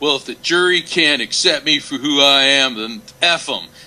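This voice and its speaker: A man puts on a gruff character voice with a fairly high pitch. He talks at a moderate pace. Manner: defiant.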